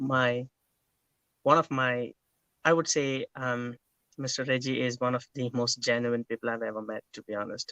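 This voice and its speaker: Over a dry, close sound with no echo, a man with an Indian accent speaks at medium pitch and a moderate pace in a bright, sharp tone, monotone and flat, with long, frequent pauses. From India, Kerala. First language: Malayalam. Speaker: interview guest. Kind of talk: interview.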